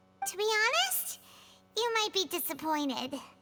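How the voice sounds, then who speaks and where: Put-on character voice, squeaky and extremely high in pitch, at a moderate pace. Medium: video game.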